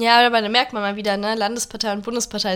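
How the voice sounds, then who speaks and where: A woman talks with a plain, everyday voice at a medium pitch. Her intonation stays fairly even. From Germany. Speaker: podcast co-host. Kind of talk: casual political discussion.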